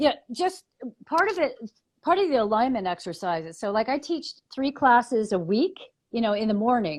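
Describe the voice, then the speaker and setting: A woman with an American accent, high-pitched with very wide pitch swings, at a moderate pace against a quiet background. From US East Coast. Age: 50s. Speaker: muscular therapist and paddling trainer. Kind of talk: interview conversation. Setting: live video stream.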